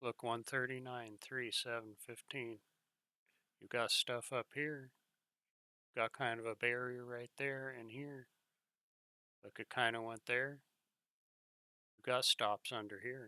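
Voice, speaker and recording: A man speaks fairly slowly at a medium pitch in a bright, sharp, monotone voice with big swings in loudness and long, frequent pauses, the sound dry and close with no echo. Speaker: day trader. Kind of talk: screen-share market commentary. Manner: halting.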